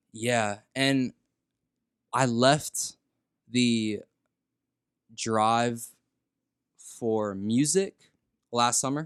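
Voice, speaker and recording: A man with an American accent speaks very slowly at a medium pitch, with ordinary pitch variation and long, frequent pauses, on a very clean recording with a silent background and a dry, close sound with no echo. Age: 20s. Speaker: audio engineer and rapper. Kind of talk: casual chat.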